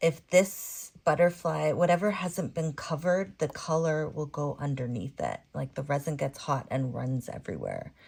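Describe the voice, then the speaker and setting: Very clean and silent in the background, the recording captures a woman with a very deep, low pitch and vocal fry. She keeps a moderate pace with hardly any pauses and ordinary pitch variation. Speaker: resin artist. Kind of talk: tutorial. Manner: calm, gentle pace; casual, chatty.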